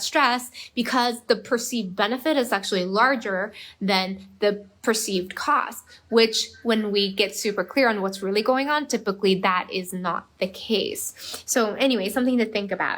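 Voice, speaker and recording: In a Korean accent, the speaker goes at a moderate pace with ordinary pitch variation. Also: woman. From Korea, moved to US at eleven. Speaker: performance coach. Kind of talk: live stream talk. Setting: Facebook live video. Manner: casual, many fillers.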